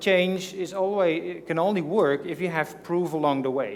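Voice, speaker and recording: Audible room echo carries the voice of a man speaking with ordinary pitch variation. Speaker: conference speaker. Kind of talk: conference presentation. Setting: stage with audience. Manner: hesitant, many fillers.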